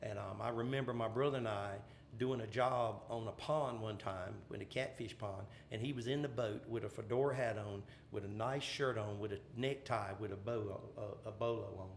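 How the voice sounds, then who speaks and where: There is audible room echo as a man talks at a moderate pace. He has an American accent and fairly even intonation. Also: medium pitch for a man. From southeastern North Carolina (Columbus and Bladen counties). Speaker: pageant MC and energy company worker. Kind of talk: casual podcast interview. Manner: hesitant, many fillers.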